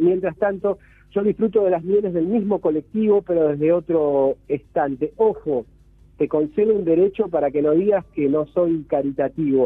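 Speaking at a moderate pace in a high voice, a man keeps his loudness very even and his pitch variation ordinary. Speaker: cultural critic columnist. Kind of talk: radio commentary. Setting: phone call.

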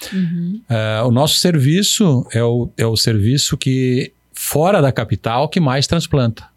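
A man with an unremarkable speaking voice talks at a medium pitch and a fairly slow pace, with hardly any pauses. His intonation is lively and his loudness very even. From Paraná, southern Brazil. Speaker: urologist. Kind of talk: interview. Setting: studio.

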